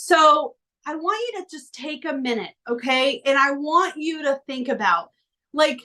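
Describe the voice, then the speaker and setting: A woman's animated tone at a fairly slow pace. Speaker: life coach. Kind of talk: coaching workshop.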